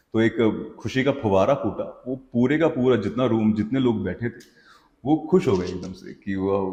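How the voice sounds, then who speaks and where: Ordinary pitch variation runs through a man's medium-pitched voice, which has a dark, mellow tone. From Hanumangarh, Rajasthan, India. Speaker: voiceover and dubbing artist. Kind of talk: interview answer.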